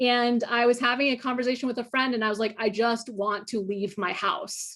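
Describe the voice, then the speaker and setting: An animated, high-pitched woman with an American accent at a fairly quick pace. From northern US. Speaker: nuclear policy expert and thriller writer. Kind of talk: panel conversation. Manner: animated, with repetitions and false starts.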